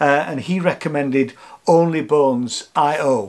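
A male speaker talks with pitch that varies in an ordinary way. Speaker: vlogger. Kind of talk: casual vlog chat. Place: home room. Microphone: camera far.

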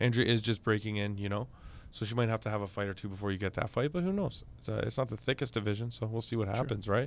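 This man talks at a very fast pace with a fairly low pitch, ordinary pitch variation, and a dry sound with no echo. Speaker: MMA podcast host. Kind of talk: casual interview. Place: studio. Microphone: studio mic.

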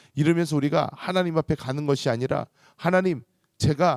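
Recorded very cleanly against a silent background, with a dry, close sound and no echo, a man speaks in a normal speaking voice at a fairly quick pace, his fairly high pitch showing ordinary variation. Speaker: pastor. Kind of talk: sermon; fervent prayer. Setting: church. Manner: earnest, pleading.

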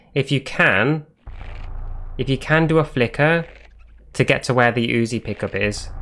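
With a British accent, a man speaks in a bright, sharp tone at a moderate pace. His pitch variation is ordinary, and he pauses long and often. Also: medium pitch for a man. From Britain. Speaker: gaming streamer. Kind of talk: live gameplay commentary. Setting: live stream. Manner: animated.

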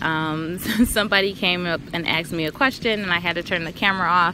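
A woman speaks at a moderate pace with ordinary pitch variation. Light background noise sits under a dry sound with no echo. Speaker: planner hobby vlogger. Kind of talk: casual vlog chat. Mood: relaxed, cheerful, giggly. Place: garden. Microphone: phone near.

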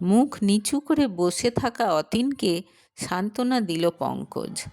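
A woman's slow, slightly mellow voice at a medium pitch, with lively intonation.

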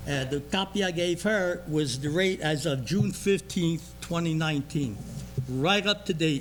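Over noticeable background noise, a man talks at a fairly slow pace in a fairly high voice with ordinary pitch variation. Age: 80s. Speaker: resident speaking at public comment. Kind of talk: public comment at township meeting. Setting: township board meeting room, cameras rolling.

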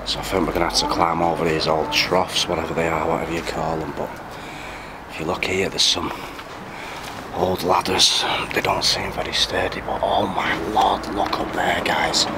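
Against loud background noise, a man speaks at a moderate pace. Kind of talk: casual vlog commentary. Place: farm machine. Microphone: phone near.

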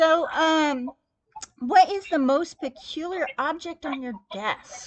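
This woman's voice sits at an extremely high pitch with lively intonation. She speaks at a very slow pace. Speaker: podcast host. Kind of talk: interview. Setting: phone call. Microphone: recorded over phone, some echo; phone line.

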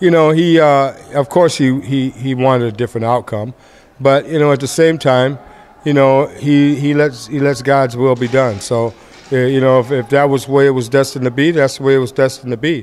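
A man at a fairly quick pace with fairly even intonation. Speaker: boxing trainer. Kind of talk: interview answer. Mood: calm, reflective. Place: hall. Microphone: earbuds.

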